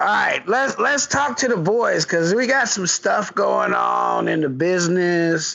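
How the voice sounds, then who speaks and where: Speaking at a fairly slow pace with hardly any pauses, a man keeps his loudness very even. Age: 40s. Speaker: podcast co-host. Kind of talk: casual chat.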